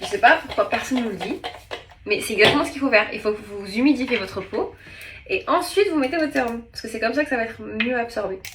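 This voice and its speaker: Over noticeable background noise, a woman talks at a very fast pace in a high pitch, her pitch swinging very widely. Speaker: TV presenter and vlogger. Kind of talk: casual vlog; beauty tutorial. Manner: animated.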